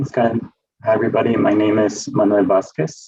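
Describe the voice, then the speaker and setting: A man with a Spanish accent, medium pitch and a dark, mellow tone, speaking at a moderate pace with lively intonation. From Mexico as a child, grew up in US. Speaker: education researcher. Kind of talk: work presentation. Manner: many fillers, hesitant.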